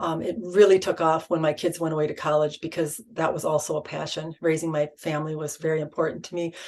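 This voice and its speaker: Over noticeable background noise, the speaker rushes at a very fast pace with hardly any pauses, in a monotone, flat intonation. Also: woman, very deep, low pitch for a woman. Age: 60s. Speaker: spiritual channeler. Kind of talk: interview. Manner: halting, many fillers.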